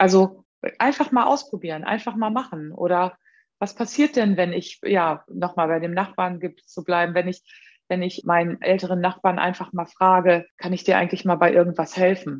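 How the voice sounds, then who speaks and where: A woman speaks at a moderate pace and medium pitch with ordinary pitch variation, in an ordinary speaking voice. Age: 50s. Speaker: upcycling craftswoman and social worker. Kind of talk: interview.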